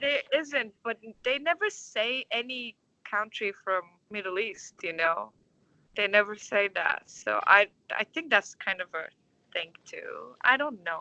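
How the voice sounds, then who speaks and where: With a bright, sharp tone and a fairly high pitch, a woman speaks at a fairly slow pace with long, frequent pauses, in a dry, close sound with no echo. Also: lively intonation. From Turkey, Istanbul. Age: 20s. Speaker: orchestra conductor. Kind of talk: interview. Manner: halting.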